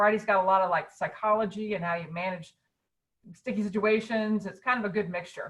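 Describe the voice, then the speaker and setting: A woman talks at a fairly quick pace in a medium pitch. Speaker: fundraising consultant. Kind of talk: webinar talk. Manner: fast; energetic.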